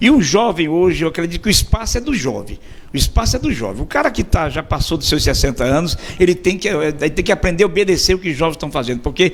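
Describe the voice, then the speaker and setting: A man with a fairly high pitch and lively intonation talks very fast, and noticeable background noise runs through the clip. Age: 60s. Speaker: radio host. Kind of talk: interview. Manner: halting, repeats words.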